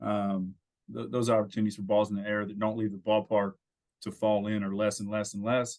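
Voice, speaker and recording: A man's fairly low voice with an American accent and a monotone, flat intonation. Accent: slight country drawl. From California, Santa Cruz area. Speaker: former pro baseball player, college coach. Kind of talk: podcast interview. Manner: frequent fillers and repetitions.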